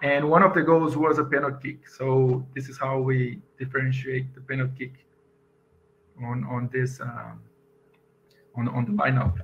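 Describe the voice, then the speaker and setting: A man with a Portuguese accent speaks at medium pitch and a moderate pace, somewhat breathy, with fairly even intonation and big swings in loudness. Long, frequent pauses break his speech over light background noise. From Brazil. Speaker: software engineer and conference speaker; conference speaker. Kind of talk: conference talk. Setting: video call. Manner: halting. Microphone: headset.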